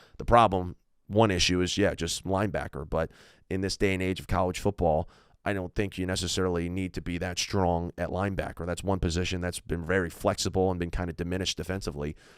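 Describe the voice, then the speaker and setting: A man talks at a very fast pace with a very deep, low pitch. The recording is very clean, with a silent background. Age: 20s. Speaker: sports podcaster, football fan. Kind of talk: solo sports podcast analysis. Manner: animated.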